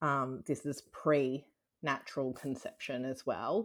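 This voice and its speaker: An Australian accent comes from a woman with a very deep, low pitch. The recording is very clean, with a silent background. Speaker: IVF patient sharing her story. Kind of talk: interview, personal testimony.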